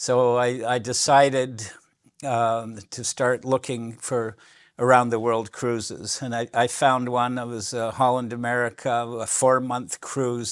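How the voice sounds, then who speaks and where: This man talks at a fairly slow pace with a medium pitch and a monotone, flat intonation. The recording is very clean, with a silent background. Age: 70s. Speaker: author. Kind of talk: lecture. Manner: halting.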